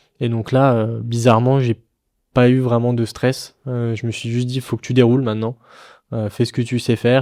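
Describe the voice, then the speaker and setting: Heard on a very clean recording with a silent background, the voice moves at a fairly quick pace with monotone, flat intonation. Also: man. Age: 20s. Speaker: rally driver. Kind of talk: podcast interview. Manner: hesitant with frequent fillers.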